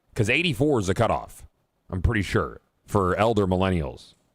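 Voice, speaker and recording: Vocal fry runs through this man's animated delivery at a moderate pace, recorded very cleanly against a silent background. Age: 40s. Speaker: video game livestreamer. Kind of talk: casual live stream chat.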